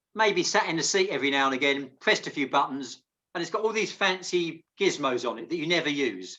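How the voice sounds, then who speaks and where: A man's fairly high, bright, sharp voice with lively intonation and a fairly quick pace. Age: 50s. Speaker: paddling coach. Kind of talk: online team training meeting.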